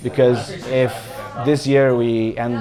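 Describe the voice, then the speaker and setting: The speech has fairly even intonation, with noticeable background noise throughout. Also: man. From Italy, Bologna. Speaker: football fan. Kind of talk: interview. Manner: halting.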